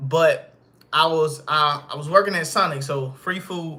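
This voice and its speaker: The man's voice is fairly high in pitch, with fairly even intonation. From US South, Arkansas. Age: 20s. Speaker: fitness coach and content creator. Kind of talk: casual livestream monologue. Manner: casual, hesitant with fillers.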